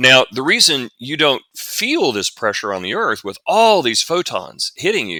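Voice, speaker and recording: Bright and sharp in tone, a man speaks with a Southern US accent. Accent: southern US drawl. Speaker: science fiction author and futurist. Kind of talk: interview. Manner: explanatory, some repetitions and false starts.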